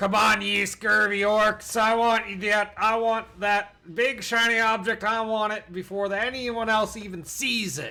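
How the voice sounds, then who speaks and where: A put-on character voice from a man, high-pitched, raised and projected, with hardly any pauses. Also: moderate pace. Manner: greedy, commanding, shouting.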